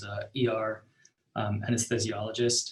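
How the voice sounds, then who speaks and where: A man with a medium-pitched voice speaks in a somewhat breathy way. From Belarus. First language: Russian. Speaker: startup co-founder and engineer. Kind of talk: interview. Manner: halting, many fillers.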